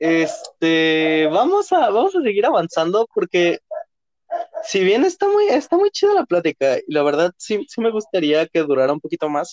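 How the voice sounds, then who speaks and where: A Mexican accent at a moderate pace, the sound dry and close with no echo. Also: man. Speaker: podcast host. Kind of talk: casual chat. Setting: studio.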